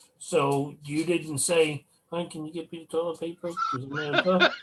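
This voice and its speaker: This is a man speaking. He keeps a moderate pace. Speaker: paranormal investigator. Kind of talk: casual chat. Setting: video call. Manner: loud, projects voice.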